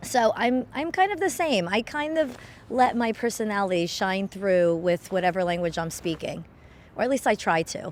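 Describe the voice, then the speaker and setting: A woman speaks at a moderate pace with a fairly high pitch and very wide swings in pitch. Noticeable background noise sits behind her. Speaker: nanny. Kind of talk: vox pop interview. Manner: casual, informal.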